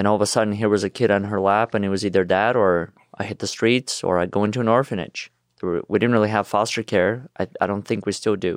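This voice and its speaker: A man with a Russian accent speaks very fast at a fairly low pitch, his intonation fairly even, the sound dry and close with no echo over a quiet background. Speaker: motivational speaker. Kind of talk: interview.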